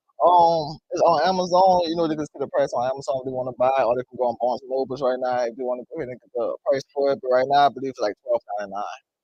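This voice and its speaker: A man with a New Orleans accent talks at a very fast pace in a fairly high pitch, with ordinary pitch variation and big swings in loudness. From New Orleans, Louisiana. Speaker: author. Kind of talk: interview. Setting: studio. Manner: hesitant, many fillers.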